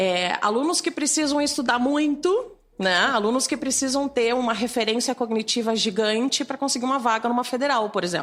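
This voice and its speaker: The voice holds a moderate pace and very even loudness, with ordinary pitch variation and hardly any pauses. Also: woman, high pitch for a woman. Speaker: teacher and cognitive neuroscientist. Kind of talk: interview.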